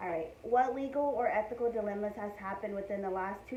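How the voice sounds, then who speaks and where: A woman with an American accent at a fairly quick pace, with audible room echo and noticeable background noise. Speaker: student. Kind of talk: class assignment interview. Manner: loud.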